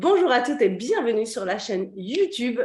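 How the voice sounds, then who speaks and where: Very wide pitch swings from a woman at a moderate pace. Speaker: business coach. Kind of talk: interview host.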